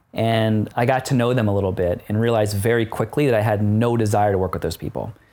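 With an American accent, a man uses a normal speaking voice at a medium pitch and fairly quick pace. His intonation is fairly even, and the recording is very clean with a silent background. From Philadelphia, US. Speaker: serial entrepreneur. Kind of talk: interview. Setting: studio.

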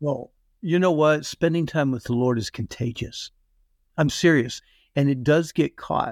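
A man speaks in a normal speaking voice at a fairly slow pace, his pitch fairly high with ordinary variation, on a very clean recording with a silent background and a dry, close sound with no echo. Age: 60s. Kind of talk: interview.

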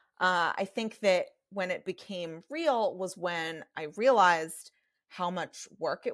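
A woman with a plain, everyday voice at medium pitch, fairly slow in pace, with lively intonation. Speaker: novelist and management consultant. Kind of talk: casual interview chat. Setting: remote call.

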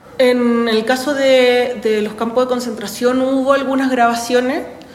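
Fairly slow speech from a woman, room echo clearly audible and background noise noticeable. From Chile, Santiago. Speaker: university professor. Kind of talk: interview testimony.

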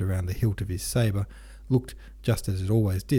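The recording is of reading aloud in a natural voice.

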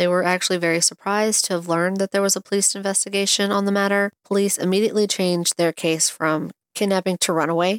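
A woman at a very fast pace, monotone and flat in intonation, with a dry, close sound and no echo. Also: medium pitch for a woman, very clean recording, silent background. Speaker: true crime podcast host. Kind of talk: true-crime narration, read from researched notes. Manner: measured, serious, sympathetic storytelling; casual, chatty in housekeeping intro.

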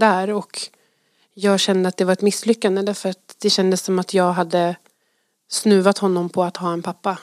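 A woman with a plain, everyday voice at medium pitch speaks at a moderate pace, recorded very cleanly with a silent background and a dry, close sound with no echo. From Sweden. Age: 30s. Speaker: teacher. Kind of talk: testimony. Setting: studio.

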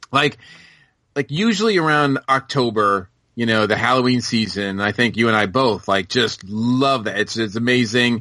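A man with an American accent speaks in a medium-pitched, bright, sharp voice at a moderate pace, with ordinary pitch variation and very even loudness against a quiet background. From Massachusetts. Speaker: podcast guest, pop culture fan. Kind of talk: casual chat.

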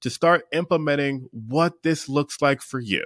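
A man with an American accent speaks at a moderate pace in a bright, sharp tone, his intonation fairly even, the sound dry and close with no echo on a very clean recording against a silent background. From Pennsylvania, US. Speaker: mindset coach. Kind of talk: interview.

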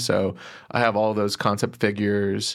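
A very clean recording of an American accent over a silent background. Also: man. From Texas, Plano. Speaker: podcast interviewer, guest. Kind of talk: interview.

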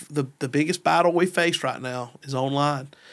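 Using a normal speaking voice, a man with an American accent talks at a moderate pace in a fairly high pitch, with fairly even intonation. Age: 30s. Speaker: pastor. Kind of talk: casual chat.

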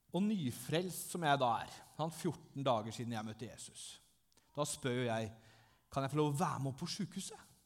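A man talks at a moderate pace with lively intonation. He has an unremarkable speaking voice, fairly high in pitch. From southern Norway (Langesund). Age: 30s. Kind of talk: testimony in church. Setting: church.

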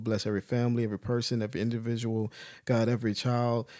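In a very clean recording with a silent background, a man with a medium pitch speaks at a very fast pace in a monotone, flat intonation. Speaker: podcast co-host.

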